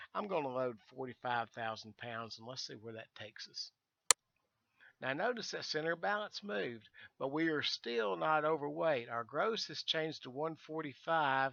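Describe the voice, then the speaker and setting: In a Southern US accent, the speaker talks at a moderate pace with lively intonation and big swings in loudness. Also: man, fairly high pitch for a man. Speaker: virtual airline staff, flight sim instructor. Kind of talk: tutorial. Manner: casual, halting with fillers.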